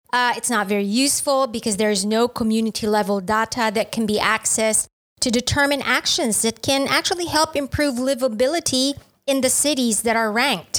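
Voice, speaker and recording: In a very clean recording with a silent background, a woman talks at a fairly quick pace in a high pitch with ordinary pitch variation. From Philippines. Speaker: overseas worker. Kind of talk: casual chat.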